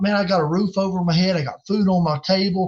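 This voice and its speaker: A man speaks at a moderate pace in a Southern US accent. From North Carolina. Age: 40s. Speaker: game call maker and evangelist. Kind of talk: casual interview chat.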